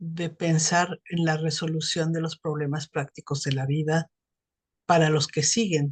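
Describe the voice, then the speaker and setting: Against a dry, close sound with no echo, a woman speaks in a very deep, low, somewhat breathy voice, monotone and flat, at a fairly slow pace. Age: 60s. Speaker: psychotherapist. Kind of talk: casual chat.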